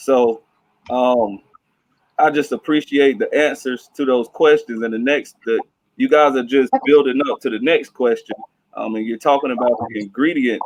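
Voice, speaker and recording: A man speaks at a moderate pace with a medium pitch. It is an ordinary speaking voice, with ordinary pitch variation. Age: 30s. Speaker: teacher moderating career panel. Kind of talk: panel moderation.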